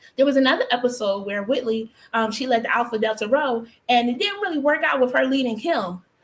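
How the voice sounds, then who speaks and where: A woman with an American accent speaks at a fairly quick pace. Her pitch is high and her tone is animated. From Philadelphia, US. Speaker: talk show host. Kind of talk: live talk show. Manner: fast.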